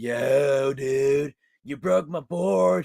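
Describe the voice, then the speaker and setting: A put-on character voice from a man at medium pitch. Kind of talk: casual slang.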